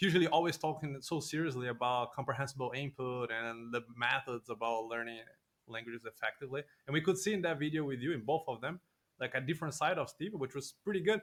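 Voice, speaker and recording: A man speaks very fast with a Portuguese accent. His pitch is fairly high, with ordinary variation. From Brazil. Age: 20s. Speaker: podcast host. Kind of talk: interview conversation.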